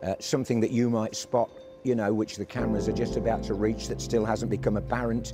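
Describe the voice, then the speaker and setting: A man's fairly low voice with lively intonation, music playing in the background. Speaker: football commentator. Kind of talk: interview answer about his career.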